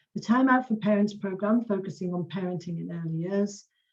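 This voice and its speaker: A woman speaks at a fairly quick pace in a medium pitch with ordinary pitch variation. Her voice is somewhat breathy. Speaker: community learning officer presenting an award. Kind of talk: award ceremony presentation. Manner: fast.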